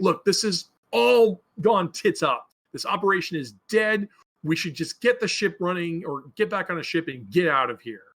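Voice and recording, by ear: A man puts on a gruff character voice at a high pitch. He speaks at a moderate pace.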